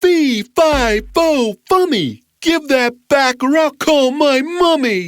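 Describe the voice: A put-on character voice, high in pitch, moves along at a very slow pace.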